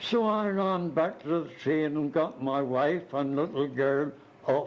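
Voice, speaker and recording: This man speaks at a very slow pace with a fairly high pitch. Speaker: retired missionary. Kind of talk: oral history storytelling. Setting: multi-purpose room at retirement home. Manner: animated; hesitant fillers. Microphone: cheap cassette recorder, tape crackle.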